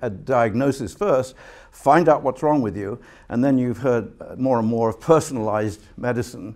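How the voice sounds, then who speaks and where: Ordinary pitch variation and a fairly quick pace from a man against a quiet background. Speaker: guest lecturer. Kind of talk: lecture. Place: hall. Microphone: podium.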